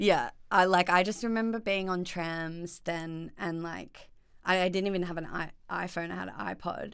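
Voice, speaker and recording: A woman speaks at a moderate pace with an Australian accent. Her pitch sits fairly low, and her intonation stays fairly even. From Australia, Byron Bay / Northern Rivers NSW. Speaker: florist and small business owner. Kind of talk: casual chat.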